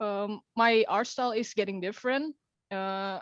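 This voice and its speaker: A woman with an Indonesian accent talks at a moderate pace with fairly even intonation. The sound is dry and close with no echo, over a quiet background. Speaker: young animator. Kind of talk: question to host. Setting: video call. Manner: halting.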